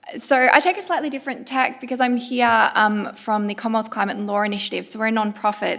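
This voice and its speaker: With an Australian accent, a woman speaks at a fairly high pitch and with fairly even intonation. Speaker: climate law panelist. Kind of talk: panel discussion.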